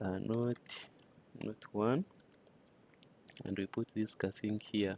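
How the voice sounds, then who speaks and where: Very slow delivery in a dark, mellow tone with fairly even intonation, dry and close with no echo. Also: man, fairly low pitch for a man. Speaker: data collection instructor. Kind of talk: tutorial. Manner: halting, many fillers.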